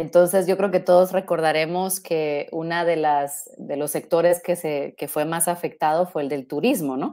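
A woman with a fairly low pitch and a dark, mellow tone talks at a moderate pace with fairly even intonation. She leaves hardly any pauses, and the background is quiet. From Guatemala. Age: 40s. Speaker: robotics engineer; guest. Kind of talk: interview. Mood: friendly, relaxed. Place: home room.

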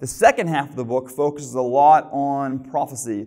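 A man's dark, mellow tone moves at a moderate pace while the background stays quiet. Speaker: preacher. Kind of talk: sermon. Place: church. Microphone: lapel.

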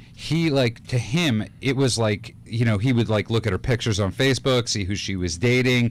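The man speaks at a moderate pace. There is no echo, and the sound is dry. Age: 30s. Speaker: radio host; radio show host. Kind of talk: casual chat. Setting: studio. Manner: joking. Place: studio. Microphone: studio mic.

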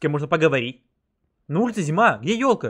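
Against a quiet background, a man speaks with lively intonation at a fairly high pitch. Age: 20s. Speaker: gaming YouTuber; streamer. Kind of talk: gameplay commentary; casual gameplay commentary. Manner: casual, hesitant with filler sounds. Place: home room.

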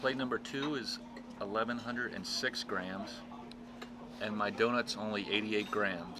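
Noticeable background noise accompanies this man as he speaks at a moderate pace. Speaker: food vlogger. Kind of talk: casual vlog chat. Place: cafe. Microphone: camera far.

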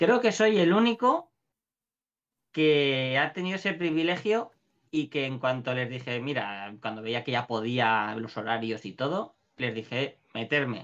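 Against a quiet background, a man uses an ordinary speaking voice with fairly high pitch, lively intonation and a fairly slow pace. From Valencia, Spain; Spain. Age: 30s. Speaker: shop owner and gamer; gamer. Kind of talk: casual interview chat. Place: home room.

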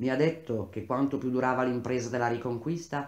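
This plain reading aloud has a fairly even intonation.

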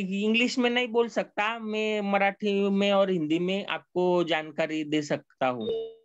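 A man talks with a Marathi accent and hardly any pauses. His pitch is high. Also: ordinary pitch variation. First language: Marathi (speaking Hindi). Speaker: lecturer. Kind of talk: lecture. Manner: halting, many fillers.

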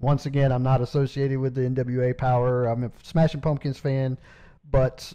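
Against a quiet background, a man with a Southern US accent talks at a moderate pace in a medium-pitched voice, his dark, mellow tone paired with monotone, flat intonation. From South Carolina, Anderson. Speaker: podcast host. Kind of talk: interview. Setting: phone call.

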